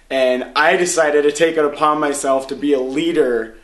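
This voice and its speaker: With audible room echo, a man speaks at a moderate pace and with fairly even intonation. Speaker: vlogger at a self-help seminar. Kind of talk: casual video diary. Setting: hotel room. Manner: usually loud.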